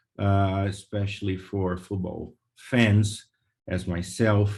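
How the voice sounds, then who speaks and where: A man's very slow, fairly low-pitched, flat monotone delivery in a Portuguese accent. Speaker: lawyer. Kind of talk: webinar presentation. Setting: video call. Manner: hesitant, many fillers.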